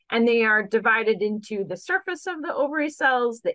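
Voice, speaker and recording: A woman with an ordinary speaking voice, fairly high in pitch, with lively intonation and a fairly quick pace. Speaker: gynecologic oncologist. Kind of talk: interview answers explaining medical topics.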